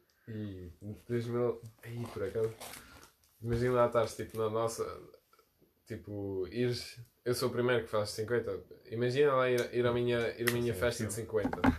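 A man speaks with monotone, flat intonation and long, frequent pauses. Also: medium pitch for a man, moderate pace. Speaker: podcast host. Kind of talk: casual chat.

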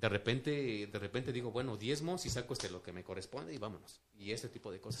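A man with a medium pitch speaks at a very fast pace with ordinary pitch variation. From Mexico City. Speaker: businessman. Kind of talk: casual interview testimony. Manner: halting, many fillers.

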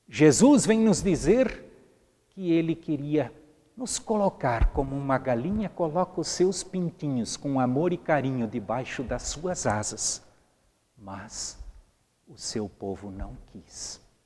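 A man's fairly high, dark, mellow voice at a very slow pace, with very wide pitch swings and big swings in loudness. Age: 60s. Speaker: pastor. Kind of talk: sermon. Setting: empty church.

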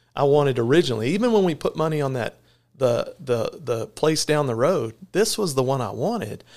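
This man talks at a fairly quick pace in a Texan accent, his pitch fairly high. The recording is very clean, with a silent background. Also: lively intonation. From Texas (Corsicana). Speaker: veterinarian and clinic owner. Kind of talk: casual interview. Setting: in person at the clinic. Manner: halting, many fillers.

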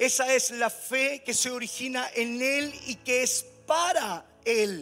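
A raised, projected voice over music in the background. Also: man. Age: 50s. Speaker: pastor. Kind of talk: sermon. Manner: halting, repeats words.

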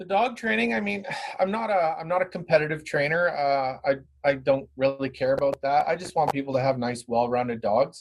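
A man with a Canadian accent has an ordinary speaking voice with a fairly high pitch. He talks at a fairly quick pace with lively intonation. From Brantford, Ontario, Canada. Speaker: dog trainer and business owner. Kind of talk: casual interview.

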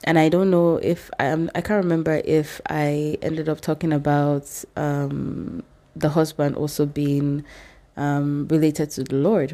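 A woman with a very deep, low pitch speaks at a fairly slow pace with fairly even intonation. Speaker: podcast host. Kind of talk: casual faith chat. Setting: in-person recording with guest.

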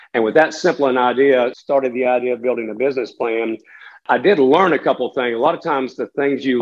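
A man with a Southern US accent, fairly quick in pace and fairly even in intonation. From western North Carolina (Catawba County). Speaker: business owner. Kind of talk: interview.

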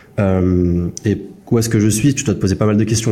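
At a very fast pace, a man talks with a fairly low pitch. The intonation stays fairly even. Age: 20s. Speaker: podcast host, SaaS founder. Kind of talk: casual chat.

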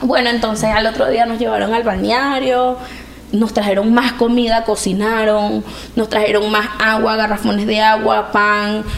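Flat, monotone delivery at a fairly slow pace, with audible room echo and noticeable background noise. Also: woman, fairly high pitch for a woman. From Venezuela. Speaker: migrant. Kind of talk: testimony.

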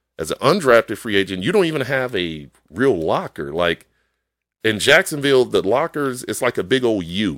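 Recorded very cleanly against a silent background in dry, close sound with no echo, a man at medium pitch talks at a moderate pace with vocal fry and very wide pitch swings. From Chicago. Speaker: football coach. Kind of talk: casual interview.

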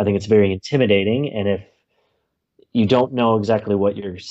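A man speaks with an American accent at a fairly low pitch. He has a plain, everyday voice. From United States. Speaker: planner creator, stoicism practitioner. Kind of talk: interview conversation.

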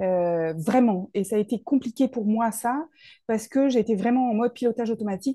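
Over a quiet background, a woman speaks at a moderate pace with a fairly high pitch, ordinary pitch variation, and a dark, mellow tone. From Paris region, France. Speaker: soul therapist and speaker. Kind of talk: interview.

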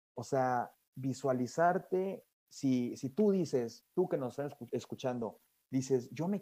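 A man's fairly high voice moves through an ordinary range of pitch. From Mexico. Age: 20s. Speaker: guest, young industrial engineer. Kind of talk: casual interview. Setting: remote interview from Europe. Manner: halting, frequent repetitions and fillers.

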